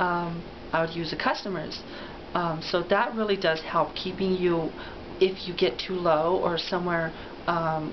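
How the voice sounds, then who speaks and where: A woman talks at a fairly slow pace with a fairly low pitch and fairly even intonation, over noticeable background noise and audible room echo. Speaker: transgender woman, voice therapy client. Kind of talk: interview. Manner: hesitant, many fillers.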